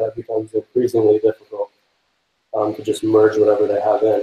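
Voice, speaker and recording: Fairly quick and somewhat breathy, a man speaks at a medium pitch with monotone, flat intonation. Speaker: software developer giving a meetup talk. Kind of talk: technical presentation. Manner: fast; hesitant, many fillers.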